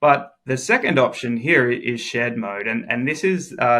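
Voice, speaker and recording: On a very clean recording with a silent background, a man of medium pitch speaks at a moderate pace with an Australian accent and a bright, sharp tone. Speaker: software engineer. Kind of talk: tutorial.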